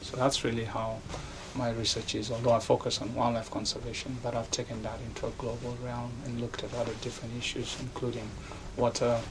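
A man speaking at a fairly quick pace, monotone and flat, over noticeable background noise. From Kenya, Nairobi. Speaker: professor. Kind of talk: interview. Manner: halting, with frequent fillers and restarts.

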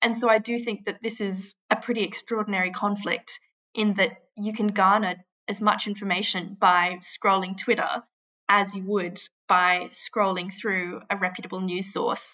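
In an Australian accent, a woman speaks at a medium pitch and moderate pace with a bright, sharp tone and monotone, flat intonation. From Australia, Canberra. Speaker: humanitarian aid worker. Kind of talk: interview. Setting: remote call from a shelter in Kyiv.

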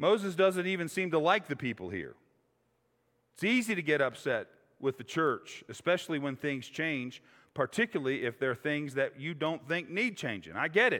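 Heard on a very clean recording with a silent background, a man with an ordinary speaking voice and fairly high pitch talks at a moderate pace with lively intonation. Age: 50s. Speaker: pastor. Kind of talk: sermon. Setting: church.

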